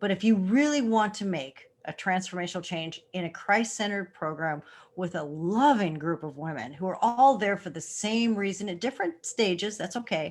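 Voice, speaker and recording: A woman with a plain, everyday voice speaks at medium pitch and a moderate pace, with lively intonation and hardly any pauses, in a very clean recording with a silent background. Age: 60s. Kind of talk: casual chat.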